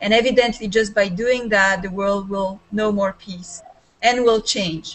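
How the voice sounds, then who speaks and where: Noticeable background noise sits under a woman speaking at a fairly slow pace with fairly even intonation. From Serbia. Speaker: life coach. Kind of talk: video call discussion.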